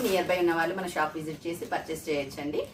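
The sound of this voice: There is audible room echo as a woman with a fairly low pitch talks at a fast pace.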